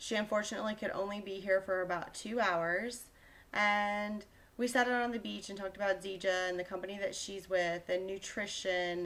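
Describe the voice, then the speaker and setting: A woman uses a plain, everyday voice at a medium pitch and a moderate pace. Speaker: health coach vlogger. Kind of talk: casual vlog monologue.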